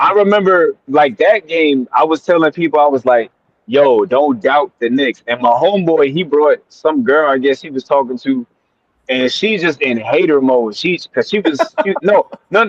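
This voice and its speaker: A man with a New York accent, fairly high in pitch, at a moderate pace, with an animated tone and lively intonation. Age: 30s. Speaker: basketball fan. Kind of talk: casual chat.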